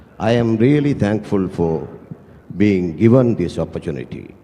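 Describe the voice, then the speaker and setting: A man with a Tamil accent talks at a fairly slow pace in a fairly low voice with lively intonation. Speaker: travel agency director. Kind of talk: prepared speech read aloud. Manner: reading from a script.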